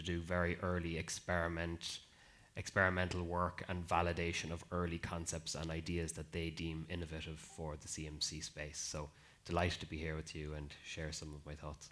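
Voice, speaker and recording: A man's very deep, low voice with an Irish accent, fairly quick and monotone, with flat intonation. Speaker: life sciences innovation lead, panelist. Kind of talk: panel discussion.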